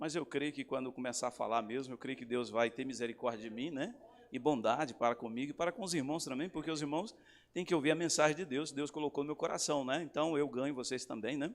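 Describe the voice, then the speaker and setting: In a very clean recording with a silent background, a man with a fairly high pitch talks at a very fast pace with ordinary pitch variation. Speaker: pastor. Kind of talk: sermon. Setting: church service with congregation.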